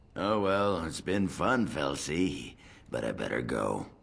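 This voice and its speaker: A man puts on a raspy character voice, very deep and low, with very wide pitch swings at a fairly slow pace. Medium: video game. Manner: gruff, crude.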